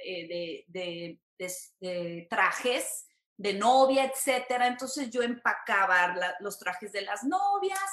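This woman has a Mexican accent. She speaks at a very slow pace. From Mexico, San Luis Potosí. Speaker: entertainment reporter. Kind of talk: casual interview.

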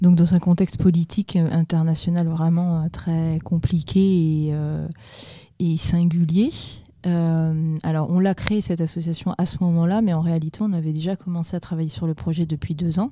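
The tone is dark and mellow, the intonation monotone and flat, and the pace moderate. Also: woman, fairly low pitch for a woman. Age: 40s. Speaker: president of a cycling integration association. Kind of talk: interview. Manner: hesitant, many fillers.

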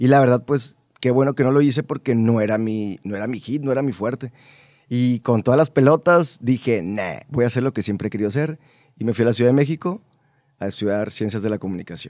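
Dark and mellow in tone, a man at medium pitch speaks at a fairly quick pace with ordinary pitch variation, recorded dry and close with no echo. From Mexico, Baja California Sur (La Paz). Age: 20s. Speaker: radio announcer. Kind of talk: casual interview chat. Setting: studio.

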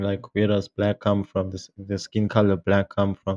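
This man's voice is fairly low in pitch with a dark, mellow tone. The sound is dry and close with no echo. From Africa. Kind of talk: casual chat. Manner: animated.

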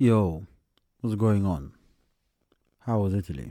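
A man uses a croaky, put-on character voice with a fairly low pitch. He goes at a fairly slow pace with ordinary pitch variation. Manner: casual, blank.

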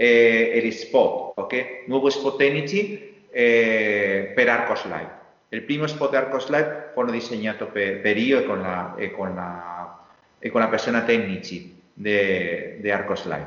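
A man with a Spanish accent speaks at a very slow pace and medium pitch, using ordinary pitch variation. Noticeable background noise is present. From Spain, Valencia area. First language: Spanish (speaking Italian). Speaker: industrial designer. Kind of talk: interview. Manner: halting.

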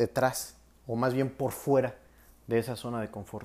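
The speaker has a Mexican accent. The pace is fairly slow. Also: man. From Mexico. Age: 20s. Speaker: psychologist and life coach. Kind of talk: solo podcast talk. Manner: halting with filler words.

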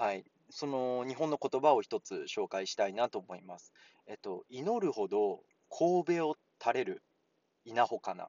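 A man talks at a moderate pace. His loudness swings in big jumps. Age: 30s. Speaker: Japanese language teacher podcaster. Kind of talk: casual language lesson.

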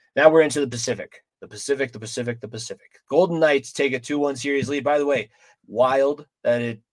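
This man talks at a fairly quick pace with a fairly high pitch, ordinary pitch variation and an ordinary speaking voice. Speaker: sports podcast host. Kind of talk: casual chat.

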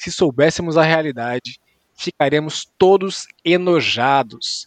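With ordinary pitch variation, a man talks in a dry, close sound with no echo. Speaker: sports podcast host. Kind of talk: casual comedic sports chat.

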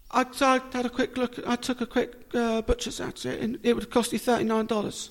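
An extremely high-pitched man with a southern English accent talks at a fairly quick pace in a monotone, flat intonation. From Portsmouth, southern England. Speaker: podcaster. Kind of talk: casual interview. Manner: halting.

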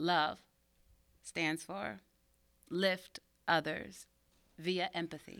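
With an American accent and vocal fry, a woman speaks at a very slow pace and a fairly low pitch, leaving long, frequent pauses. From Pittsburgh area, US. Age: 30s. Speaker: mime artist. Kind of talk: interview conversation.

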